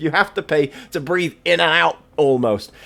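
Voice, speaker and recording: The speaker is a man with an English accent. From England. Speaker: gaming commentator. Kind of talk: casual game review commentary. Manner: ad-libbed, improvised.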